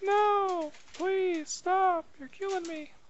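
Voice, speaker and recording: The speaker uses a put-on character voice at an extremely high pitch. Clear background noise is present. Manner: pleading, dramatic.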